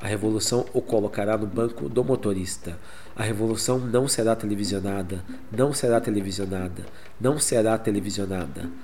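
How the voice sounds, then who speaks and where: A man with a Brazilian accent speaks at a very fast pace and a fairly low pitch. Noticeable background noise runs underneath. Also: ordinary pitch variation. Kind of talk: spoken word poem, dubbed Portuguese reading of protest poem. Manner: rhythmic, defiant, incisive delivery.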